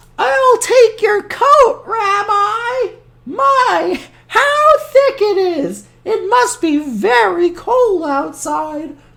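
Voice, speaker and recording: A woman uses a put-on character voice that is squeaky and extremely high in pitch. She speaks at a very slow pace with very wide pitch swings. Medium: read story. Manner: warm, chatty.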